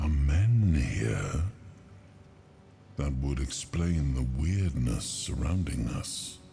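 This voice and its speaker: Long, frequent pauses mark a man's put-on character voice. He speaks at a very slow pace with a very deep, low pitch. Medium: machinima. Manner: halting, searching.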